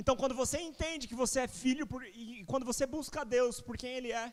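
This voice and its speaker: An extremely high-pitched male voice at a fairly quick pace. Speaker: preacher. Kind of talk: sermon. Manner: fast.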